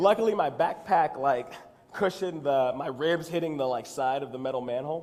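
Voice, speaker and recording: An American accent comes through at a fairly quick pace with ordinary pitch variation. Noticeable background noise is present. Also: man, fairly high pitch for a man. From Texas. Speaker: actor and comedy writer. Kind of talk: conference talk. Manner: casual, humorous storytelling.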